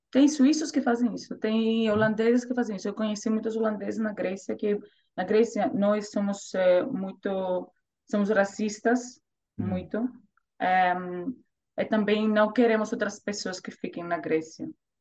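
Somewhat breathy, a woman talks at a fairly slow pace in a fairly high pitch, with a dark, mellow tone and ordinary pitch variation. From Greece, Thessaloniki. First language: Greek (speaking Portuguese). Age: 30s. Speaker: volunteer and language learner. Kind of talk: interview. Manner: halting.

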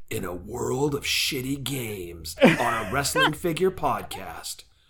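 Using a put-on character voice, a man talks at a medium pitch. His pace is fairly slow. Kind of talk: epic trailer announcer. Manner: mock-serious, booming.

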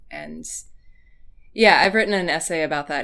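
A woman with a West Coast accent. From US Pacific Northwest. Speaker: fan blogger and essayist. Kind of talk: casual chat.

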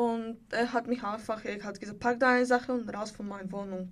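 With a Bulgarian accent, a woman speaks in a fairly high voice and fairly even intonation, recorded very cleanly against a silent background. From Bulgaria, Sofia. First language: Bulgarian (speaking German). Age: 20s. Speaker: homeless young woman in a women's shelter. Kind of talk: personal testimony interview. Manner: halting.

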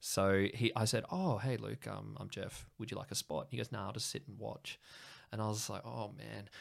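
A man with an Australian accent talks at a moderate pace on a very clean recording with a silent background. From Sydney, Australia. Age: 30s. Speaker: English teacher, comedian guest. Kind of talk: casual chat, interview. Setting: home studio. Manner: chatty, rambling, filler-heavy.

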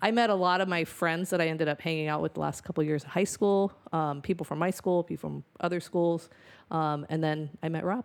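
A woman with a plain, everyday voice, fairly low in pitch, fairly even in intonation, at a fairly quick pace, in a very clean recording with a silent background. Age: 50s. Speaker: former probation officer and stay-at-home mom. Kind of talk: casual chat. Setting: home.

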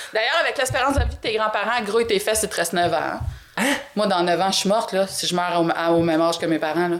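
Over noticeable background noise, a woman talks at a very fast pace with medium pitch, ordinary pitch variation and very even loudness. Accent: Quebec. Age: 50s. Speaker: host's mother, former media researcher. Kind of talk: casual chat.

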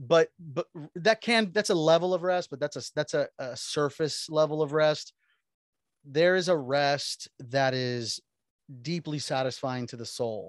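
With an American accent and a normal speaking voice, a man talks at a fairly slow pace against a quiet background, the sound dry and close with no echo. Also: fairly high pitch for a man, ordinary pitch variation. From Miami, Florida. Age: 40s. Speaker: pastor. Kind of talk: casual chat.

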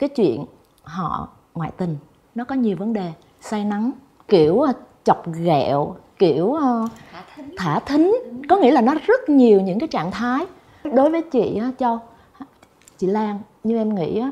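Her fairly high-pitched voice moves at a fairly slow pace, with long, frequent pauses, very wide pitch swings and big swings in loudness from this woman. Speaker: talk show guest. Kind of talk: talk show conversation.

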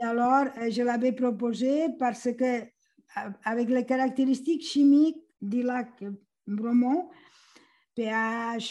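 A woman's fairly high voice with a dark, mellow tone, ordinary pitch variation and a very slow pace. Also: very clean recording, silent background. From Catalonia, Spain. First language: Catalan/Spanish (speaking French). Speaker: retired professor, aquatic ecologist. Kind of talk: interview. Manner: halting.

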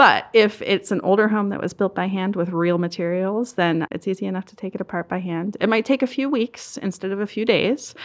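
With an American accent and a plain, everyday voice, a woman talks at a fairly quick pace with hardly any pauses, her medium pitch showing ordinary variation while her loudness swings widely. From Southern Maryland. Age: 30s. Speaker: nonprofit outreach director. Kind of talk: interview. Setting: studio.

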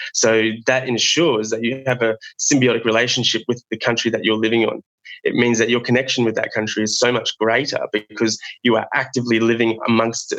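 Speaking with an Australian accent, a man at medium pitch keeps a flat, monotone delivery, a fairly quick pace and very even loudness. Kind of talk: interview. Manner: halting, many fillers.

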